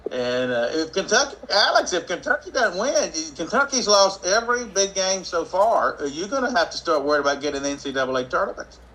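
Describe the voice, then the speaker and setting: In a raised, projected voice, a man with a high pitch talks at a fairly quick pace with hardly any pauses and very wide pitch swings. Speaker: economic development consultant and show host. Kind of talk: live morning show, casual talk. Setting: live video stream. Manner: conversational, with frequent fillers.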